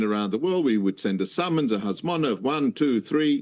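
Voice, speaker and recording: Lively intonation from a man with an Australian accent. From Australia, Melbourne. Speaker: rabbinic judge and advocate. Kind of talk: interview.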